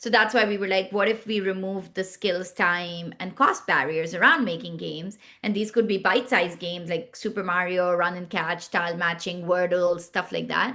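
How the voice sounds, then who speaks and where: With a Pashto accent, a woman talks at a moderate pace with hardly any pauses, her tone bright and sharp, her pitch medium and her intonation fairly even. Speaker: startup founder and CEO. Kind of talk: podcast interview.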